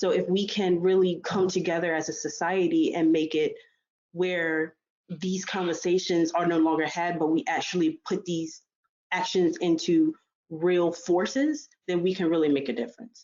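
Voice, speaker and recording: At a moderate pace, a woman speaks in a normal speaking voice, fairly low in pitch with ordinary pitch variation. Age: 20s. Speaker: student and health physics worker on diversity panel. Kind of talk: panel discussion. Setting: virtual conference session.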